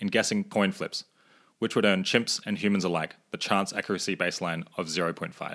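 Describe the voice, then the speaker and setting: Speaking at a moderate pace, a man with an unremarkable speaking voice uses lively intonation. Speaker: podcast host. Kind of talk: interview.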